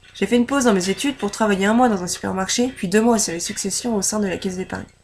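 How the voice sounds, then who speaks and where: Noticeable background noise behind a woman of medium pitch, with a very fast pace and ordinary pitch variation. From France, Normandy (Orne). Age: 20s. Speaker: civic service volunteer applicant. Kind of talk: personal application pitch. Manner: scripted, read.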